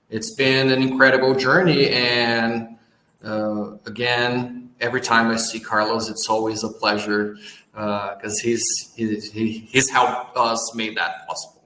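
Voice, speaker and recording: Audible room echo surrounds a man of medium pitch with a Portuguese accent. He talks at a fairly slow pace with fairly even intonation. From Brazil. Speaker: business owner, post-production company. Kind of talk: interview.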